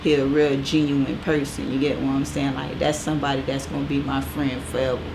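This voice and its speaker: With an American accent, a woman talks at a fairly quick pace amid noticeable background noise. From US South, Fort Lauderdale, Florida. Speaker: stylist. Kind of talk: casual interview.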